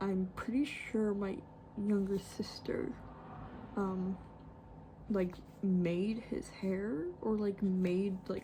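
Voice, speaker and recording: A soft-spoken woman at a medium pitch talks at a very slow pace with long, frequent pauses over noticeable background noise. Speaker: artist. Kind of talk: tutorial. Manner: hesitant.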